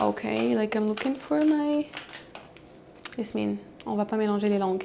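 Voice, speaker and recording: Noticeable noise sits in the background. A woman talks fairly slowly over it. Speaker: vlogger. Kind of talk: casual vlog talk to camera. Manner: halting, code-switching French and English.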